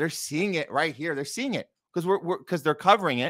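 A man speaks in a bright, sharp tone with ordinary pitch variation. The background is quiet. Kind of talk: livestream commentary. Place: home room. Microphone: studio mic.

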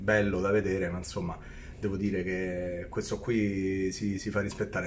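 Somewhat breathy, fairly low-pitched male voice over light background noise. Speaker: travel vlogger. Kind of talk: casual vlog chat. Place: home room. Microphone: phone near.

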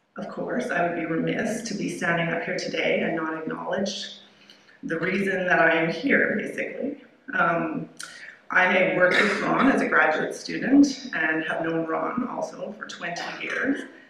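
Noticeable background noise plus audible room echo. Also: woman, fairly low pitch for a woman, moderate pace. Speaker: keynote speaker. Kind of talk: lecture. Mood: warm, appreciative. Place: hall. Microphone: podium.

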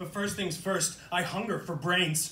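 A man's angry tone with fairly even intonation, audible room echo and light background noise. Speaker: poet. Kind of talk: spoken-word poem performance. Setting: live reading in a coffee shop. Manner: dark, defiant, angry, with rhythmic rhyming delivery. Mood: intense, earnest.

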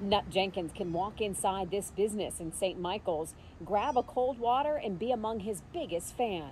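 This woman has an ordinary speaking voice, pitched in the medium range and delivered at a moderate pace. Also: lively intonation. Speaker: TV news reporter. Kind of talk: TV news narration.

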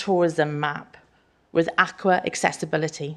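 A woman is speaking. She has a Welsh accent. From Wales. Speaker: small business owner. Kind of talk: public address to council. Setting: council chamber, live streamed.

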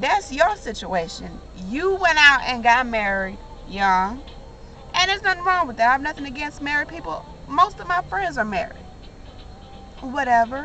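The tone is bright and sharp, with big pitch swings. The pace is moderate. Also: woman, high pitch for a woman.

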